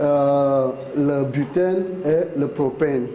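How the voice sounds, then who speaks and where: A man with a non-native accent, fairly high in pitch, his intonation fairly even, against noticeable background noise. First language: not French (speaking French). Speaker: oil plant guide. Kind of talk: guided site tour. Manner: halting, many fillers.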